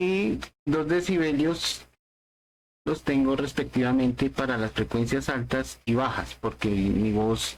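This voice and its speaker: Though his pace is very slow, a man speaks with lively intonation and very even loudness. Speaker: tech podcast host. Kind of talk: tutorial.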